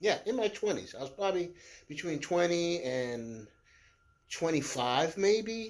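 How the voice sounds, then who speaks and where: With lively intonation and a high pitch, a man talks at a fairly slow pace. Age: 60s. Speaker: DIY video maker. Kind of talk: tutorial. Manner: halting.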